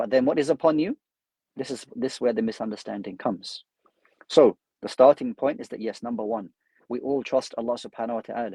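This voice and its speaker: In a London accent, a man with a dark, mellow tone speaks at a very fast pace and medium pitch, with ordinary pitch variation. Long, frequent pauses break up his speech, and the sound is dry and close with no echo. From London, UK. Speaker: Islamic scholar and imam. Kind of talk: religious lecture.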